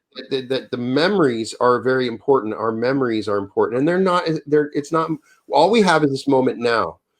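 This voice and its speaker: A man with an American accent speaks at a fairly quick pace with ordinary pitch variation and a medium pitch. He has a plain, everyday voice. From Wyoming, US. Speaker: author. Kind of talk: interview conversation.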